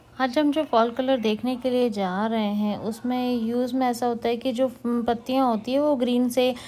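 A dark, mellow tone with monotone, flat intonation, very even loudness and hardly any pauses, over light background noise. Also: woman, moderate pace. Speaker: vlogger narrating the drive. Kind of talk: casual vlog chat. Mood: pleased, relaxed. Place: car. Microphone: phone near.

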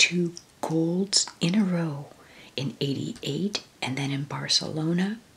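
Against light background noise, a soft-spoken woman with a gentle tone speaks at a fairly slow pace in a very deep, low pitch with ordinary pitch variation. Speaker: book flip-through narrator. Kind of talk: casual reminiscing commentary. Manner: soft-spoken, gentle ASMR voice. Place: home room. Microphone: phone near.

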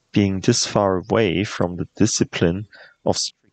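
Against a quiet background, someone reads aloud in a natural voice with fairly even intonation.

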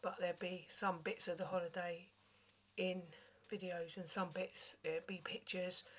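A woman with a British accent and a somewhat breathy voice. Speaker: vlogger. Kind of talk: casual chat. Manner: casual, chatty.

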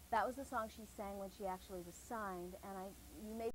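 A woman of medium pitch talks at a very fast pace in a somewhat breathy voice with fairly even intonation, in a dry sound with no echo and light background noise. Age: 20s. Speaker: actress and singer; actress. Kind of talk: TV interview. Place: studio.

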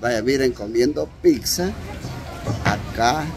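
A man at a medium pitch, with faint background noise and faint crowd noise behind him

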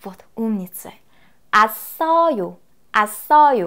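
In a Korean accent, a woman talks at a very slow pace with a fairly high pitch. Her intonation is lively, and the background is quiet. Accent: Korean accent in Russian. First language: Korean (speaking Russian). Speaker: language teacher. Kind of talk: lecture. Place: studio. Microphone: lapel.

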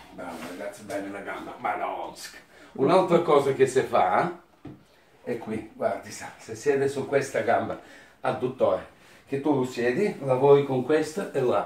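With audible room echo, a man speaks with lively intonation, big swings in loudness, and long, frequent pauses. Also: fairly high pitch for a man, fairly slow pace. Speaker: masseur. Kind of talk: casual talk to client during massage. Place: home room. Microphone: camera far.

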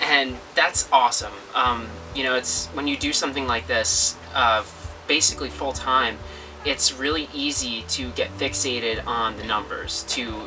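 With music in the background, a man talks at a moderate pace with ordinary pitch variation. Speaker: channel host. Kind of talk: casual vlog chat. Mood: warm, encouraging. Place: home room.

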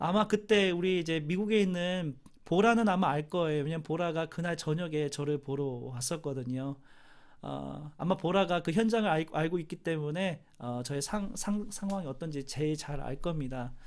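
With a plain, everyday voice, a man speaks at a moderate pace in a fairly high pitch with ordinary pitch variation. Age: 40s. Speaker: university chaplain and professor. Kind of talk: family memorial service sermon.

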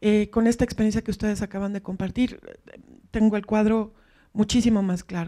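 Against a quiet background, a woman with a fairly high pitch and a dark, mellow tone speaks fairly quickly in a monotone, flat way. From Mexico City. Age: 40s. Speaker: academic, audience member; audience member. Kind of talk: audience question. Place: hall.

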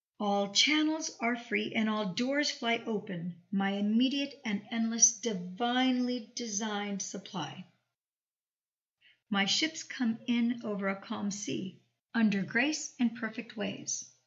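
At a very slow pace, a woman with a fairly high, somewhat breathy voice speaks with ordinary pitch variation. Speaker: audiobook narrator and channel host. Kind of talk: audiobook reading of a self-help text, affirmations.

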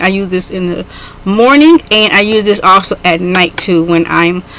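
A woman at a moderate pace, with light background noise and a dry sound with no echo. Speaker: beauty vlogger. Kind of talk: casual product review vlog. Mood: enthusiastic. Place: home room.

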